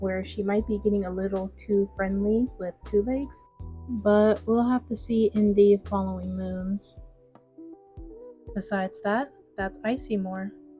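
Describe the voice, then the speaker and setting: A woman speaks quietly at a fairly slow pace, with music playing in the background. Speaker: digital artist and video commentator. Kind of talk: speedpaint commentary. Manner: gradually gets quieter.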